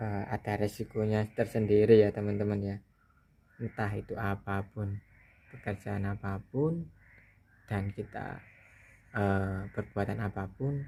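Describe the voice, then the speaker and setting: A man's fairly low, somewhat breathy voice with a dark, mellow tone, a fairly slow pace, fairly even intonation and long, frequent pauses. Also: very clean recording, silent background. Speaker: tech video creator. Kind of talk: casual tutorial talk. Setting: home near rice fields. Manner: hesitant with fillers.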